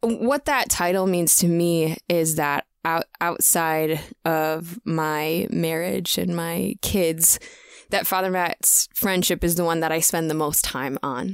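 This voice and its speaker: Very slowly, a woman speaks at very even loudness in a dry, close sound with no echo. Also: fairly low pitch for a woman, ordinary pitch variation. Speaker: musician and author. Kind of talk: casual interview chat. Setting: video call. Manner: laughs often.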